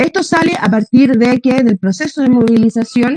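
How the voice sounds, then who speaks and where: A woman speaks with a fairly high pitch and a dark, mellow tone, recorded dry and close with no echo. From Chile. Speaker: feminist activist panelist. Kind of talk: panel talk. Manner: fast.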